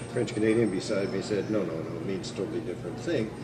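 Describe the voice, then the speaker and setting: A man mumbles at a medium pitch. Noticeable background noise and audible room echo surround him. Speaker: historian lecturer. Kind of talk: lecture. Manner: mumbling; halting, many fillers.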